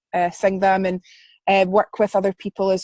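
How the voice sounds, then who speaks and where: A woman in a west central Scottish accent, medium pitch and moderate pace, dry, close sound with no echo, quiet background. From Scotland, Paisley. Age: 20s. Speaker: singer-songwriter and music student. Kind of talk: interview. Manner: halting, many fillers.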